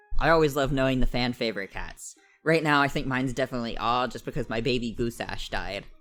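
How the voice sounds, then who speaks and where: Someone talks at a very fast pace over music in the background. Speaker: gaming youtuber. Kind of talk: let's play commentary, reading game text aloud. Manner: stutters, self-correcting; casual, halting.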